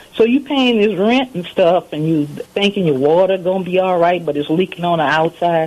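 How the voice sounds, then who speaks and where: Amid noticeable background noise, a woman with a fairly low voice speaks at a moderate pace with lively intonation. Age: 60s. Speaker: caller. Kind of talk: personal testimony.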